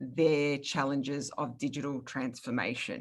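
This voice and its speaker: With an Australian accent, a woman speaks at a very deep, low pitch and a moderate pace, with fairly even intonation. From Australia, Melbourne. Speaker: product marketing manager, webinar host. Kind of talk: webinar presentation.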